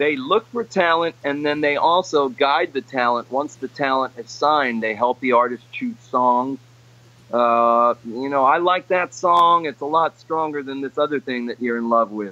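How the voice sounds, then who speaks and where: A man talks at a fairly high pitch with an ordinary speaking voice. His pace is moderate and his pitch variation ordinary. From New York City, the Bronx (Puerto Rican family). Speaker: session and touring guitarist. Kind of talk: casual interview. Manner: conversational with fillers.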